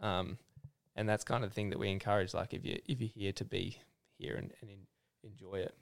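A man with an Australian accent speaks at a fairly low pitch and a fairly quick pace, with ordinary pitch variation. He leaves long, frequent pauses, and his loudness swings widely. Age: 20s. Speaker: clothing brand founder. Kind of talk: casual interview. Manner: casual, filler-heavy.

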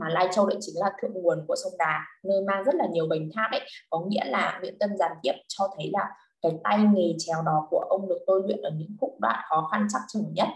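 A woman's medium-pitched voice at a fairly quick pace, with ordinary pitch variation and music in the background. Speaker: literature tutor. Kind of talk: online lesson. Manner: halting.

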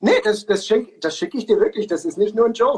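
A man talks very fast at a high pitch. His intonation is lively. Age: 20s. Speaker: singer and talk show host. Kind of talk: casual interview. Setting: live stream on social media.

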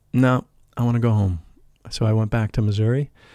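A man with an American accent, medium-pitched with a dark, mellow tone, talking at a very fast pace with fairly even intonation, in a very clean, dry, close recording with no echo and a silent background. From US Midwest, St. Louis. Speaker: spiritual teacher and life coach. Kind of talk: interview.

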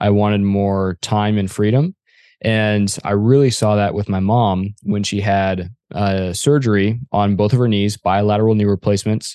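Against a quiet background, a man with an American accent speaks in a dark, mellow tone with a fairly low pitch and fairly even intonation. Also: moderate pace, dry, close sound with no echo. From Arizona. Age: 20s. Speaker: real estate investor. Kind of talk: interview.

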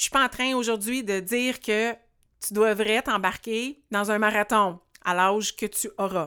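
On a very clean recording with a silent background, a woman of medium pitch speaks at a fairly slow pace in a bright, sharp tone with ordinary pitch variation. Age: 40s. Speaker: podcast host and life coach. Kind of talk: solo podcast monologue.

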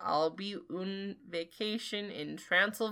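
Pitch varies in an ordinary way as the speaker reads aloud in a natural voice.

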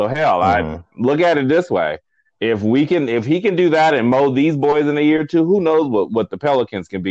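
A man with very wide pitch swings, recorded dry and close with no echo. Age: 40s. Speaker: sports podcast co-host. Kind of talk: casual chat. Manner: animated.

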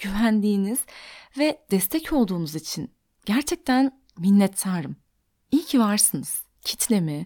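On a very clean recording with a silent background and a dry, close sound with no echo, a woman speaks in a dark, mellow tone at a fairly high pitch with very wide pitch swings. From Turkey, Antakya (Hatay). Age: 20s. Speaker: podcast host, psychological counselor. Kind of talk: solo podcast monologue.

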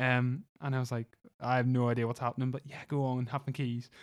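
The voice carries a Northern Irish accent. The recording is very clean, with a silent background. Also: man. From Northern Ireland (Lisburn). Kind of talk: casual chat. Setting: family cottage on a farm.

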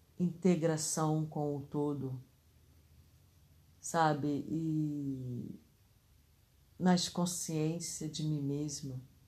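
Very slowly and with long, frequent pauses, a woman speaks in a very deep, low voice of dark, mellow tone, her intonation fairly even and the room echo audible. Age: 60s. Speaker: spiritual podcaster. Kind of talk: casual reflection.

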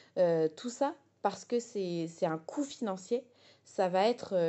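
A woman talks at a medium pitch. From France, Essonne. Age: 20s. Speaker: political activist. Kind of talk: political testimony. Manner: hesitant, with fillers.

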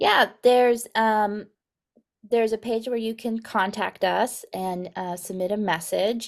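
With an American accent and a normal speaking voice, a woman speaks at a fairly slow pace, fairly high in pitch with fairly even intonation, on a very clean recording with a silent background. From Texas, Guatemala, Arizona and Mexico. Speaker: children's ministry director. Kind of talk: podcast interview.

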